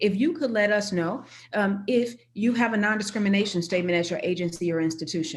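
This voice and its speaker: At a fairly quick pace, a woman talks in a medium pitch with ordinary pitch variation and a somewhat breathy voice. Audible room echo surrounds her. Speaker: university chief diversity officer. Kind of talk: conference presentation. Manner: fast.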